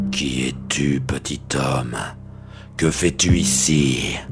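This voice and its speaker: Over clear background music, a man uses a put-on character voice. He speaks at a very slow pace. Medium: read story. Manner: gruff, curt.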